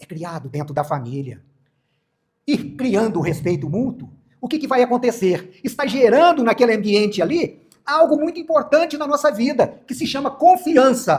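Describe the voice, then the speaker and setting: With big swings in loudness and very wide pitch swings, a man talks at a moderate pace in an extremely high pitch. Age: 70s. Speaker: Spiritist lecturer. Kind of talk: sermon. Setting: spiritist centre with audience.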